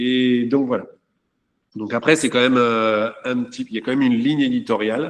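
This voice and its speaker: In an ordinary speaking voice, a man talks at a medium pitch and a moderate pace with ordinary pitch variation. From France. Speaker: château owner. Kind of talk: panel talk.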